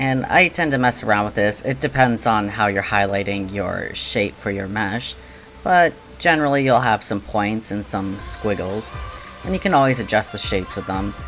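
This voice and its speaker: Over music in the background, a man with a fairly low pitch talks at a moderate pace with lively intonation. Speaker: digital clothing creator. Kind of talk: tutorial narration.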